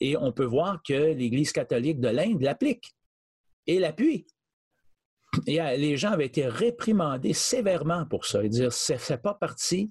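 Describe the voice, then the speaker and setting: Somewhat breathy and fairly high in pitch, a man speaks at a very slow pace with very wide pitch swings. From Quebec. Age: 60s. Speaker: charity director. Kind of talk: interview. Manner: halting.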